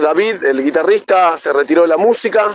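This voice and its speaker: Here a man speaks with an Argentine accent. His intonation is lively. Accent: Rioplatense Argentine Spanish. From Buenos Aires, Argentina. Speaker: rock singer. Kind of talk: interview. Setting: remote call via messaging app.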